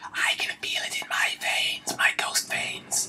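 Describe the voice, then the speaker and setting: In a put-on character voice, a man whispers at a fairly slow pace. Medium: solo performance. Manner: mournful, pleading.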